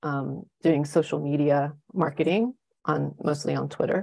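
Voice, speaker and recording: Vocal fry marks this voice, which moves at a fairly slow pace. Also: woman. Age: 50s. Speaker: travel and nature photographer. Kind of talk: casual interview chat.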